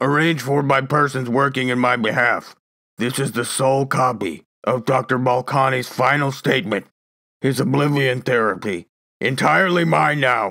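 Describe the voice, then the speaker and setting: A man does a raspy, put-on character voice at a medium pitch and a moderate pace. The recording is very clean, with a silent background. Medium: read story. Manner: cold, superior, faintly sneering.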